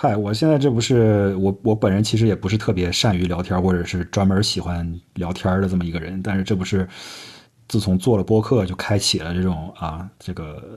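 Speaking at a moderate pace, a man uses a very deep, low voice with ordinary pitch variation. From Northeast China. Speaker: podcast host. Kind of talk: casual chat.

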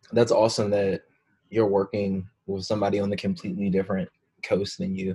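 A man's fairly low voice with an American accent, dark and mellow in tone, somewhat breathy, fairly even in intonation, at a fairly quick pace. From Florida. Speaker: podcast host. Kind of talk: casual chat.

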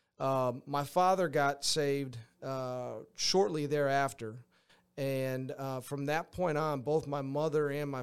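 Here is a man with an American accent and a fairly high pitch. He speaks at a fairly slow pace with fairly even intonation. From Western Massachusetts. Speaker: baseball coach. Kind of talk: interview. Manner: halting.

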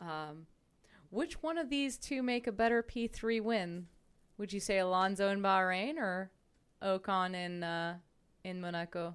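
At a fairly slow pace, a woman with a medium pitch and lively intonation leaves long, frequent pauses, in a very clean recording with a silent background. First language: French. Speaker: campus radio co-host. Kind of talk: casual chat. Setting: radio studio.

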